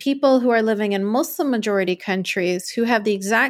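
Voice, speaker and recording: A woman has an unremarkable speaking voice with a Canadian accent. Her pitch is medium, with ordinary variation. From Canada. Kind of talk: interview.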